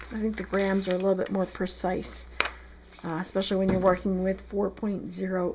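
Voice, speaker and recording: She speaks with an American accent. Her pace is moderate. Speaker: soap maker. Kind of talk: tutorial. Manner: casual, conversational.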